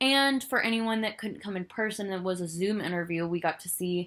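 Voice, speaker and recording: The recording is very clean, with a silent background. A woman speaks at a moderate pace with a medium pitch and an animated tone. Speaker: podcast host. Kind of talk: solo podcast review.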